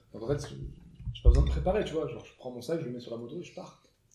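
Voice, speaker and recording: Audible room echo fills the space. A man's voice rings through it. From southern France. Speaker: motorcycle traveller. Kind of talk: casual chat. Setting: dinner table.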